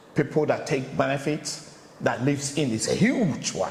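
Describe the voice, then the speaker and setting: Over noticeable background noise and audible room echo, a man speaks with an African accent. His pitch is fairly high and his pace moderate. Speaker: interviewer, channel host. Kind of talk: casual interview chat.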